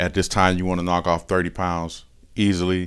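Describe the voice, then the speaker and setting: In a very clean recording with a silent background, a man with an American accent speaks fairly quickly at a very deep, low pitch. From Michigan. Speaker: person in addiction recovery. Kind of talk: testimony. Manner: casual, conversational.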